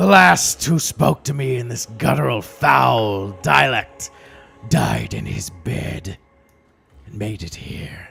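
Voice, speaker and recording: Over faint music in the background, a raspy put-on character voice moves at a fairly slow pace with very wide pitch swings. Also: man, fairly low pitch for a man. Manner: ancient, disdainful.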